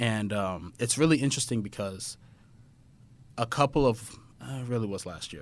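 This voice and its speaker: On a very clean recording with a silent background, a man with an American accent talks at a moderate pace, using ordinary pitch variation, big swings in loudness, and long, frequent pauses. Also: medium pitch for a man. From Texas. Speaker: podcast guest, childhood friend of host. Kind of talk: casual chat, interview. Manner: animated, conversational.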